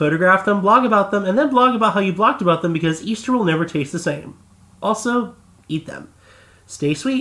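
Raised and projected, a man's bright, sharp voice sits at a high pitch, with lively intonation at a fairly quick pace. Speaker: voice actor; podcast co-host. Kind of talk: reading a letter aloud.

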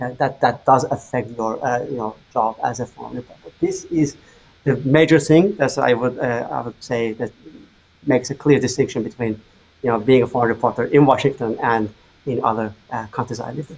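Somewhat breathy, a man speaks at a moderate pace with ordinary pitch variation and big swings in loudness. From Azerbaijan. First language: Azerbaijani. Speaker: journalist. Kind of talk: interview. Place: home room.

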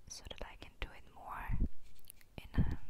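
The whispering voice belongs to a woman. Her pace is very slow. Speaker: ASMR creator. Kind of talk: whispered ASMR chat. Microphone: earbuds.

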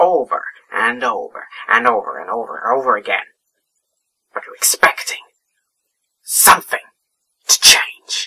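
A man in a put-on character voice at a moderate pace, with long, frequent pauses. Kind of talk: dramatic villain monologue. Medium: role play. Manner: erratic, mocking, sudden shifts.

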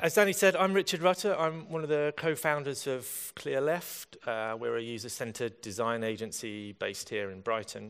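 A man at a moderate pace with hardly any pauses, over a quiet background. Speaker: conference speaker. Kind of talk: conference talk. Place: hall.

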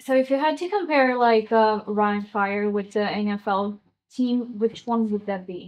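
In a normal speaking voice, a woman talks at a fairly slow pace and fairly high pitch with ordinary pitch variation. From Brazil / Germany. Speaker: journalist. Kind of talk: press conference question. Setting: press conference room.

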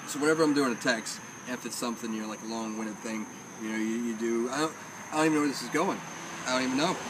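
A man talks at a very fast pace with ordinary pitch variation over noticeable background noise. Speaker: vlogger. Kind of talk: casual vlog chat. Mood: joking, rambling. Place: street. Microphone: phone near.

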